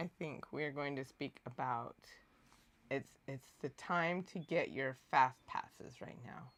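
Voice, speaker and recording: A woman's very deep, low voice with vocal fry, a very slow pace, ordinary pitch variation and big swings in loudness. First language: not English. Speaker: channel co-host. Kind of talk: livestream chat.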